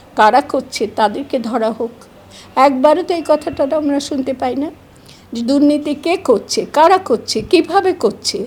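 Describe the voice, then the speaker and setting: A woman's high voice carries lively intonation. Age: 70s. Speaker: educationist. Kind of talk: interview. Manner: formal.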